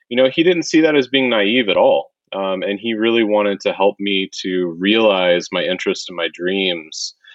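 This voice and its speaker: A man with an American accent and lively intonation, talking at a moderate pace. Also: fairly low pitch for a man. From US Midwest (Wichita, Kansas). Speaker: professor. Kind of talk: casual interview. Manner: hesitant, many fillers.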